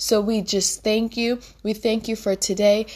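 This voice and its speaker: A woman's plain, everyday voice at medium pitch and a fairly slow pace. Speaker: minister and podcast host. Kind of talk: fervent prayer, spoken aloud to God. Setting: podcast recording, addressing listeners. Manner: warm, earnest, pleading, with repeated invocations; heartfelt, intimate, devotional.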